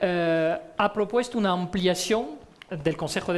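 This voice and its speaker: A man's high-pitched voice. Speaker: diplomat, debate moderator. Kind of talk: panel debate. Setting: stage with audience.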